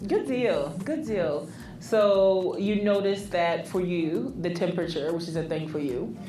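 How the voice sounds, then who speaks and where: At a fairly slow pace and with ordinary pitch variation, the voice comes through audible room echo and noticeable background noise. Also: woman, medium pitch for a woman. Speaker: therapist and podcast co-host. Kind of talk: casual chat.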